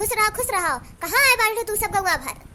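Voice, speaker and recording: A put-on character voice from a woman, squeaky and extremely high, at a very fast pace with lively intonation. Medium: cartoon. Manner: sharp, scolding.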